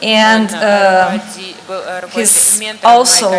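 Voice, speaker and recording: Fairly high-pitched, a woman with a Brazilian accent speaks with fairly even intonation, with noticeable background noise and audible room echo. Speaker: conference speaker, academic. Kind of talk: conference talk. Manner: hesitant, many fillers.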